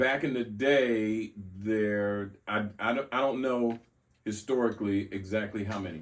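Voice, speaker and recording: In a plain, everyday voice with an American accent, a man speaks at a fairly slow pace, fairly low in pitch and fairly even in intonation, on a very clean recording with a silent background. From US South (Mobile, Alabama). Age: 60s. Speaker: former circus ringmaster. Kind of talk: casual interview.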